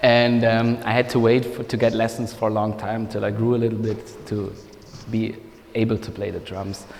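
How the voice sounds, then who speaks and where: Over noticeable background noise, a man speaks with a German accent. His medium-pitched delivery is monotone and flat. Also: moderate pace. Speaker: music producer and mixing engineer. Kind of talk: masterclass talk. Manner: halting, many fillers.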